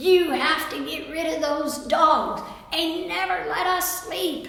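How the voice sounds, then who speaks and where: Amid strong echo, a woman puts on a character voice at an extremely high pitch, speaking at a fairly slow pace with fairly even intonation. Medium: read story. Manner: shrill, nagging.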